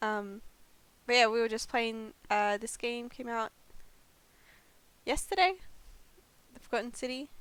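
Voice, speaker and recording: With an Australian accent, a woman speaks fairly slowly in a fairly high voice, using ordinary pitch variation and long, frequent pauses. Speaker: variety streamer. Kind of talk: live game stream chat.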